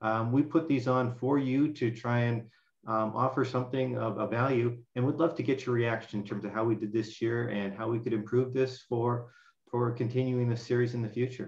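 Against a quiet background with audible room echo, a man talks at a moderate pace in a somewhat breathy voice with fairly even intonation. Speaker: professor hosting webinar. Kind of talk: webinar introduction and closing remarks; webinar moderation and closing remarks. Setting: video call. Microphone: video call.

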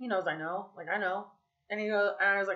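Quiet background behind a woman's voice. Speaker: vlogger. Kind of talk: casual vlog chat. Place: home room. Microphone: webcam.

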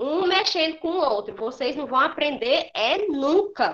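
Over a quiet background, a woman speaks in a raised, projected voice at a fairly slow pace, her pitch swinging very widely. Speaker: primary school teacher. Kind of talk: lecture to pupils in an online class. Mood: firm, admonishing. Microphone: webcam.

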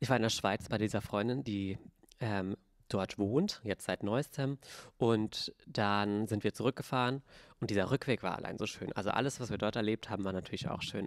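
Heard over a quiet background, a normal speaking voice moves at a moderate pace in dry sound with no echo. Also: man. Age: 20s. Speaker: podcast co-host. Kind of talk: casual chat. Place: studio. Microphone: handheld.

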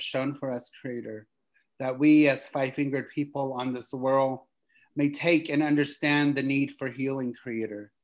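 The voice moves at a moderate pace with fairly even intonation. The background is quiet. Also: man. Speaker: guest. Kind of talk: prayer. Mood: solemn, reverent. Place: home room. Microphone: video call.

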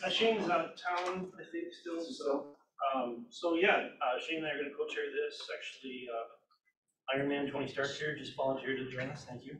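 A man speaks at a fairly quick pace with ordinary pitch variation and big swings in loudness, noticeable background noise behind him. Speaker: real estate agent. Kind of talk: team meeting discussion. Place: meeting room. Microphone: camera far.

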